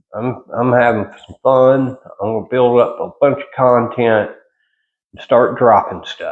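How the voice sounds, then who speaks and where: Spoken in a Southern US accent at a fairly slow pace, the voice shows big swings in loudness. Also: man. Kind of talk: casual monologue vlog. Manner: casual, halting with repetitions.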